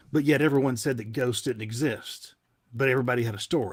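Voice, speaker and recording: A man with a Southern US accent speaks at a moderate pace and medium pitch, with ordinary pitch variation, in a very clean recording with a silent background. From US South, Tennessee. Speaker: paranormal investigator, TV personality. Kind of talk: podcast interview. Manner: halting, many fillers.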